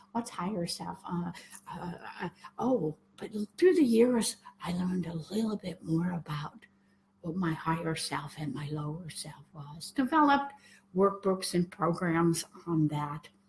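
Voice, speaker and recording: Noticeable background noise accompanies a woman with a fairly low pitch who speaks at a fairly slow pace, with lively intonation and big swings in loudness. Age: 70s. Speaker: spiritual teacher. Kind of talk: spoken talk to viewers.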